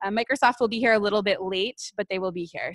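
A woman with an unremarkable speaking voice, fairly high in pitch and with ordinary pitch variation, comes across in a dry, close sound with no echo. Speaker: event co-organizer. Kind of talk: opening announcements. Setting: stage with audience.

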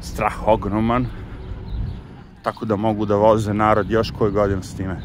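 Over noticeable background noise, a man with a fairly low pitch speaks at a moderate pace, the sound dry with no echo. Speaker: vlogger. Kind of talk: casual vlog chat. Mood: relaxed, sometimes wry. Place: street. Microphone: phone near.

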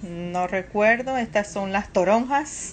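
A woman at a very slow pace, ordinary pitch variation, light background noise. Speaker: home vlogger. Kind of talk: casual vlog chat. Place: kitchen. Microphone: phone near.

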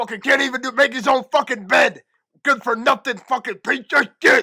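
The speaker talks at a fairly quick pace and a fairly high pitch. The recording is very clean, with a silent background. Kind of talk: comic overacting. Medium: fan dub.

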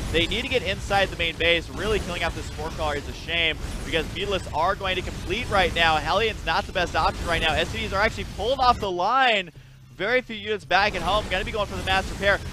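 A man with a high voice talks very fast, with ordinary pitch variation and noticeable noise behind him. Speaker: gaming YouTuber. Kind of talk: casual game commentary. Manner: excitable, animated.

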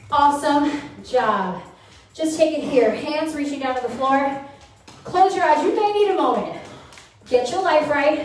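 A woman speaks fairly slowly in a high pitch with long, frequent pauses, amid audible room echo and light background noise. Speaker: fitness instructor. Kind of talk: workout instruction. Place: home room.

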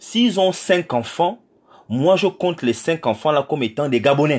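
A man talks at a fairly slow pace, his pitch swinging very widely. The background is quiet. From Gabon. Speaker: political activist. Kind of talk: political address to diaspora. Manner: hesitant, many fillers. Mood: earnest, indignant. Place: home room. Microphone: phone near.

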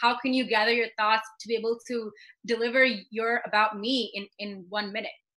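The voice has a bright, sharp tone and an American accent, delivered fairly quickly in a flat monotone. The background is quiet. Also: woman, fairly high pitch for a woman. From USA, Indian American. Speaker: beauty pageant runner-up and dancer. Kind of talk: casual interview chat. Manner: fast, many fillers and repetitions. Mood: friendly and upbeat. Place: home room. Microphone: video call.

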